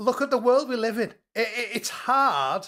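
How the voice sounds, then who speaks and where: A man talks at a high pitch and a fairly slow pace. The recording is very clean, with a silent background. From northeast England. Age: 40s. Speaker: co-host commentator. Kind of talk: casual chat. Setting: live stream.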